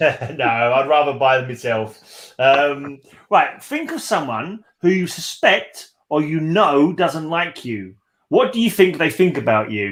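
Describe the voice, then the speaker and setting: Very slow, lively speech from a man with an English accent and a fairly high pitch. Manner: casual, joking.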